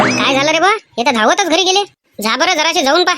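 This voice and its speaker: A squeaky, cartoonish character voice is heard. Its intonation is lively. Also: woman, extremely high pitch for a woman, fairly quick pace, very even loudness. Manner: rustic Vidarbha village dialect.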